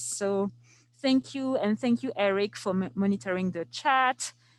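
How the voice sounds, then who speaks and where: A woman speaks at a fairly slow pace in a French accent. The background is quiet. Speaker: archives preservation specialist teaching a workshop. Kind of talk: online workshop tutorial. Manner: hesitant, many fillers.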